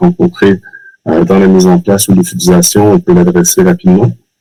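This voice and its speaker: With music in the background, a man in a Quebec accent speaks at a fairly low pitch, his voice swinging very widely in pitch. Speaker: customer success manager. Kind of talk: webinar presentation.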